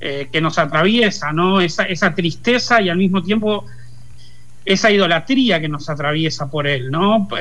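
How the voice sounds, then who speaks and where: With lively intonation, the speaker goes at a very slow pace amid audible room echo. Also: man. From Argentina, Lanús (Buenos Aires province). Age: 40s. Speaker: pop culture commentator. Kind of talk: interview. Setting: remote call.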